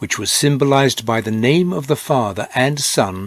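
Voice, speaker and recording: This is an unremarkable speaking voice from a man, medium in pitch. He talks at a moderate pace with lively intonation. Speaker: Bible reader. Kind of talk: scripture reading.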